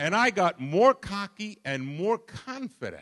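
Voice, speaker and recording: In a New York accent, a man speaks very slowly with a bright, sharp tone and very wide pitch swings, the sound dry and close with no echo. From Brooklyn, New York. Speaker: pastor. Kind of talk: sermon. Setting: church.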